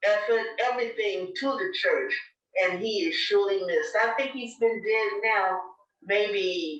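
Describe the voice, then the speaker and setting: A woman with an American accent speaks at a fairly slow pace in a fairly high pitch. Audible room echo surrounds her voice. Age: 80s+. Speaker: church elder. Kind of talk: oral history interview. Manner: halting.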